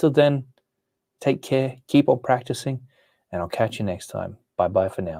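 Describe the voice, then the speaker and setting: A man with an American accent speaks at a moderate pace in a relaxed, dark, mellow tone at medium pitch, his lively intonation and big swings in loudness broken by long, frequent pauses. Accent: Australian with some American sound. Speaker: comic art teacher. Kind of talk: live stream chat. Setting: live stream.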